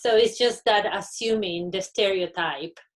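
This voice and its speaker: Speaking at a moderate pace, a woman talks with a Spanish accent. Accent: Spanish-speaker. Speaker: university panelist. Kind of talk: panel discussion.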